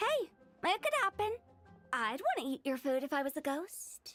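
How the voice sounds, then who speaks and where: A female-sounding put-on character voice, high-pitched and playful in tone, moves at a moderate pace. Faint music sits in the background. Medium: video game. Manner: playful, excitable.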